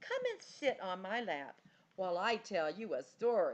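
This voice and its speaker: A put-on character voice carries this clip. It moves along at a moderate pace. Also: female-sounding voice, fairly high pitch for a woman. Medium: read story. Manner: warm, playful.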